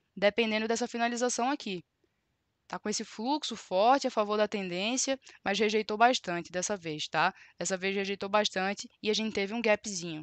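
A woman's fairly high voice at a moderate pace, with ordinary pitch variation, a dry sound with no echo, and a quiet background. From Brazil, Recife (Pernambuco). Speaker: trading educator. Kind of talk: live-stream tutorial. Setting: live stream. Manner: animated. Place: home room. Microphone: headset.

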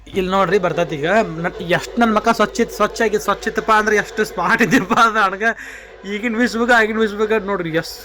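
A man's high-pitched, raised and projected voice with fairly even intonation over noticeable background noise. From Dharwad, north Karnataka, India. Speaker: vlogger. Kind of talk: casual vlog narration.

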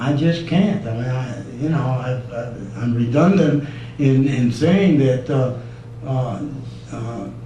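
With an American accent, a man at medium pitch speaks at a very slow pace with ordinary pitch variation, amid noticeable background noise and audible room echo. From US Midwest, Detroit. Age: 70s. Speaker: resident speaking at public comment. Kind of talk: public comment at town meeting. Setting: town council meeting. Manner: halting.

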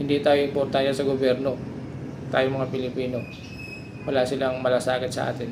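Against noticeable background noise, a man talks in a monotone, flat intonation. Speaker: vlogger. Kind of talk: angry rant about government and flood control, addressed to viewers. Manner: indignant, bitter, repetitive, pleading tone with rising emphasis; rambling, hesitant with fillers.

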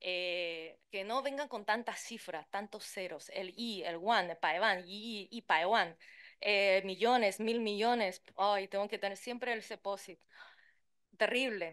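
A medium-pitched woman with a Chilean accent speaks with ordinary pitch variation over a quiet background. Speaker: translator and interpreter; conference panelist. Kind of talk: conference talk. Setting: conference room with interpreters. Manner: fast. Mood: lively, humorous. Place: hall.

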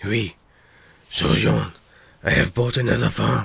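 In a put-on character voice, a man growls out raspy, very deep, low tones with very wide pitch swings at a fairly slow pace. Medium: machinima. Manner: anxious, dramatic.

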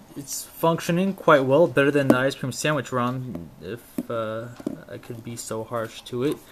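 A man keeps a moderate pace while loud background noise plays. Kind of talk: casual tech demo. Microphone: camera far.

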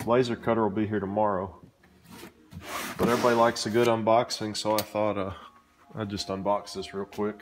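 Audible room echo surrounds a fairly quick pace with little pitch movement. Long, frequent pauses break up the speech. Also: man, fairly low pitch for a man.

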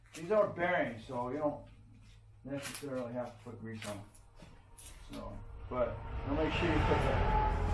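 Amid noticeable background noise, a man speaks at a moderate pace with big swings in loudness and long, frequent pauses. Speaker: DIY reviewer. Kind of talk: tutorial. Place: garage. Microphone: camera far.

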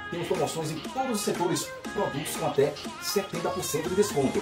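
A man talks at a fairly quick pace while music plays clearly in the background. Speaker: announcer and retail sales advisor. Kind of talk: TV commercial read. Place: home room. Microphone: phone near.

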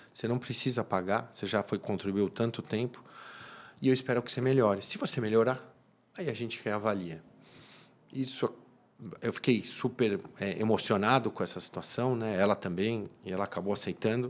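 Pauses come long and often. The pace is moderate, with ordinary pitch variation. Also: man, medium pitch for a man. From Brazil, São Paulo. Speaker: criminal lawyer and community leader; criminal lawyer. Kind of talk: interview. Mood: warm, reflective. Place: studio. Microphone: studio mic.

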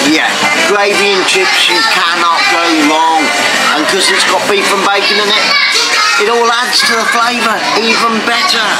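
Over loud background music, a man talks at a moderate pace with ordinary pitch variation and long, frequent pauses. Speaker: food vlogger. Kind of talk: casual vlog chat. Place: cafe. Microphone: phone near.

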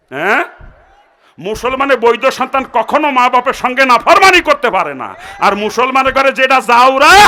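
A man uses a raised, projected voice. His pitch is extremely high, with ordinary variation. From Bangladesh, greater Jessore (Narail). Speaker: Islamic preacher. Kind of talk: sermon. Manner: animated.

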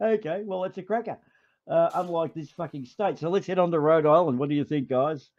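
Speaking with an Australian accent, a man with a high pitch talks at a fairly quick pace and ordinary pitch variation. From Australia (Melbourne). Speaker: livestream host. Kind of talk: casual chat.

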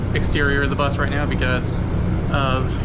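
A man talks at a moderate pace. Loud background noise fills the recording. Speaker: transit enthusiast vlogger. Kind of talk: casual vlog chat. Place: bus. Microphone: phone near.

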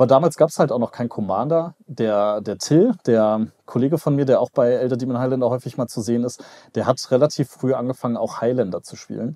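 This man has a dark, mellow tone and a medium pitch, with ordinary pitch variation. He speaks at a fairly quick pace against a quiet background. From western Germany, Mönchengladbach; Germany. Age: 30s. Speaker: YouTuber and business analyst; YouTuber, business analyst. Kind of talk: casual chat. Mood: relaxed, conversational. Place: home room. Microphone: headset.

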